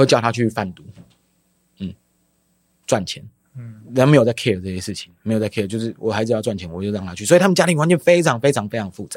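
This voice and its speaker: A man talks at a very fast pace with lively intonation and big swings in loudness, broken by long, frequent pauses. The recording is very clean, with a silent background. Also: medium pitch for a man. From Taiwan. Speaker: drama educator, founder of youth theatre group. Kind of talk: casual interview.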